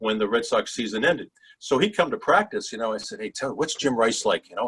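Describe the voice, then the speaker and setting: A man with a Boston accent, very wide pitch swings and a fairly quick pace, in a dry, close sound with no echo. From Massachusetts, Boston area (Swampscott). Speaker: sports broadcaster. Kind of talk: interview storytelling.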